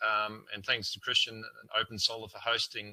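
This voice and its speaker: This man has a bright, sharp tone and a New Zealand accent. His pitch is medium and his pace fairly quick. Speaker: solar panel sales representative. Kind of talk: product presentation. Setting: online webinar. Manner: halting, filler-heavy.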